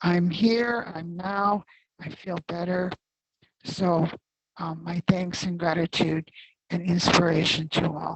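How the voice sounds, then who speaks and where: A woman's fairly low, somewhat breathy voice with fairly even intonation. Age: 70s. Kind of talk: testimony. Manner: halting.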